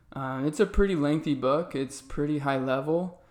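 A man with an American accent speaks at a fairly slow pace in a fairly high pitch and a normal speaking voice. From Arizona. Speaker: financial business owner. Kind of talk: interview.

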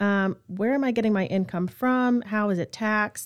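A woman speaks with ordinary pitch variation. It is an ordinary speaking voice. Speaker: podcast host. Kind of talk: casual informative interview.

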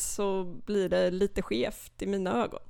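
A woman speaks with vocal fry. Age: 20s. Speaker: literature student, literary society chair. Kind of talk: casual interview. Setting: podcast studio.

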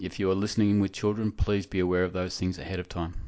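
With a normal speaking voice, a man speaks at a fairly low pitch with fairly even intonation. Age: 50s. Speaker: podcast host, amputee peer support volunteer. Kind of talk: scripted podcast intro.

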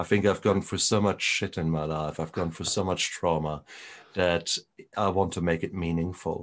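Against a quiet background, a man speaks with a German accent in a very deep, low pitch. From Germany. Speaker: retired doctor and recovery podcaster. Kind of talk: interview conversation. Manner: animated.

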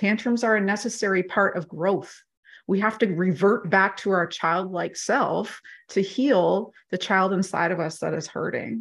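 A woman speaks at a fairly slow pace and medium pitch, with ordinary pitch variation and vocal fry. The background is quiet. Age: 40s. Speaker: life coach or mentor. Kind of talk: casual interview chat.

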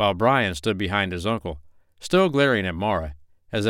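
The voice reads aloud in a natural voice, with intonation that is lively.

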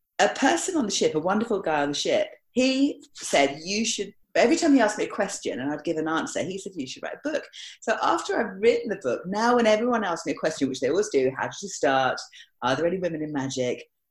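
Moving at a very fast pace, a woman with a medium pitch and vocal fry swings very widely up and down in pitch. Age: 50s. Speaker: magician. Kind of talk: casual chat.

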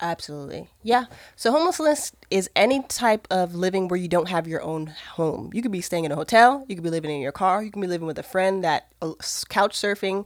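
A woman with an American accent talks in a normal speaking voice at medium pitch, moving at a fairly quick pace with lively intonation and hardly any pauses. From Maryland, US. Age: 30s. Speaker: ministry worker. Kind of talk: casual interview.

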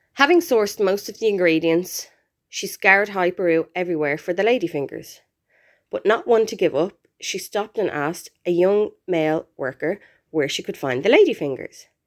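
Pitched at a medium level, a woman has an unremarkable speaking voice with lively intonation at a moderate pace. The recording is very clean, with a silent background. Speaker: expat listener contributor. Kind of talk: storytelling, reading aloud.

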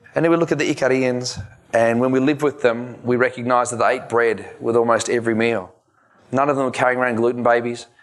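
A man talks at a very fast pace with an Australian accent. His intonation stays fairly even. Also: medium pitch for a man. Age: 40s. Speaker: chiropractor and wellness speaker. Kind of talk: conference presentation. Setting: stage with audience.

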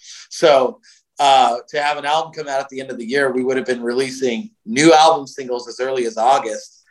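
Using a medium pitch and fairly even intonation, a man with a Californian accent talks at a fairly quick pace with big swings in loudness. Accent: American (Californian). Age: 40s. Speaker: heavy metal singer, bassist and festival promoter. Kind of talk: interview conversation.

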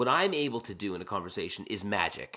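A Canadian accent, very wide pitch swings, and a very fast pace. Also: man. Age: 40s. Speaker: podcast host. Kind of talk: casual conversation.

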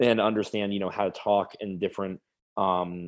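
An American accent marks a man with an unremarkable speaking voice, a fairly low pitch and a fairly quick pace. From US South, South Florida. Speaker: startup founder. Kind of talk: interview.

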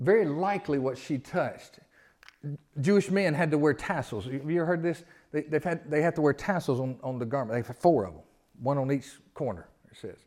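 With a Southern US accent, a man talks at a fairly quick pace in a fairly high pitch. His loudness swings a lot, while his pitch variation is ordinary. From US South. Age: 50s. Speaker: pastor. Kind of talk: sermon. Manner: animated.

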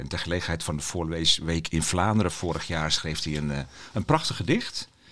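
Noticeable background noise accompanies a man with a very deep, low pitch talking at a fairly quick pace. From Friesland, Netherlands. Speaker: podcast host, children's book critic. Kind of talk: casual chat. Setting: children's bookshop.

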